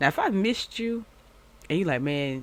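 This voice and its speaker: A woman with an American accent talks at a very fast pace in a fairly low voice, her animated tone carrying very wide pitch swings on a very clean recording with a silent background. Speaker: YouTube commentary host. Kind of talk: casual chat to viewers.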